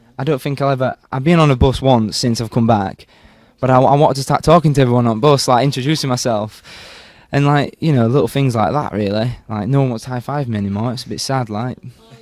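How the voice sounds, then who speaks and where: A man speaks at a very fast pace in a medium pitch with ordinary pitch variation, on a very clean recording with a silent background. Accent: Yorkshire. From Yorkshire, northern England. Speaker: Olympic torchbearer, university student. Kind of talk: interview. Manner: animated.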